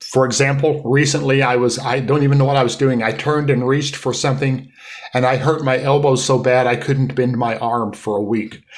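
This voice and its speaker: Audible room echo surrounds a man talking at a medium pitch. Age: 70s. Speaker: podcast co-host. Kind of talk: casual chat.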